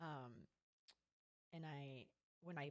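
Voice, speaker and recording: The voice belongs to a woman and sits very deep and low. Her tone is animated. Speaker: trivia host. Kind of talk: casual chat.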